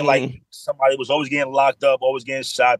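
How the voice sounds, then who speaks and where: Someone with a New York accent talks very fast, in a dry, close sound with no echo. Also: man. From New York, the Bronx. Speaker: adult film performer. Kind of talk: casual chat.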